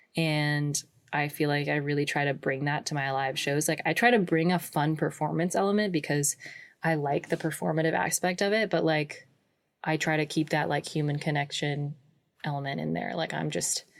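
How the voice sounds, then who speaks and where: In a very clean recording with a silent background, a woman with a West Coast accent speaks at a moderate pace in a very deep, low pitch. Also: ordinary pitch variation. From Pacific Northwest, suburbs of Portland, Oregon. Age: 20s. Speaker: folk musician. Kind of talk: interview. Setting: home recording in a closet.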